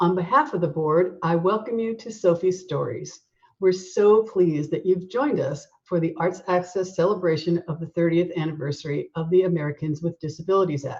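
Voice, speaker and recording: Speaking at a fairly quick pace with hardly any pauses, a woman has a fairly low, somewhat breathy voice. Her pitch varies in an ordinary way. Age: 60s. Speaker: nonprofit board president. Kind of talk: formal welcome address.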